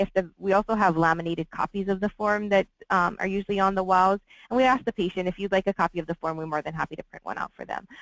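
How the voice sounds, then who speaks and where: Against a quiet background, a woman at a medium pitch speaks with fairly even intonation in a dry, close sound with no echo. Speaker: hospital administrator. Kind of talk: webinar interview. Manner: fast.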